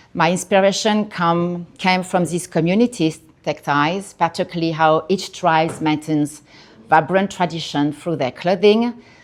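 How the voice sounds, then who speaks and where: A woman with a strong French accent speaks at a moderate pace and a fairly low pitch, with ordinary pitch variation. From France, Paris. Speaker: artist. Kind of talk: artist talk. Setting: gallery with audience. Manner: halting.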